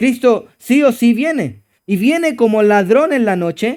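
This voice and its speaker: Speech comes at a very slow pace with ordinary pitch variation in a very clean recording with a silent background. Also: man. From Chile. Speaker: pastor. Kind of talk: sermon.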